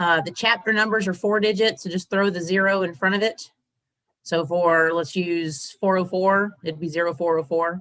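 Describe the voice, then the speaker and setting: A woman with an unremarkable speaking voice talks at a moderate pace, her fairly low pitch moving with fairly even intonation. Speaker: Air Force member, association chapter officer. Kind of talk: training presentation.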